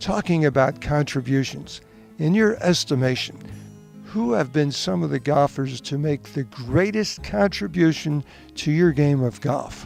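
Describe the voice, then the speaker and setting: At a fairly slow pace and with lively intonation, the voice is heard over music in the background. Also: man, fairly high pitch for a man. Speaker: tennis professional and broadcaster, interviewer. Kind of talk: interviewer questions.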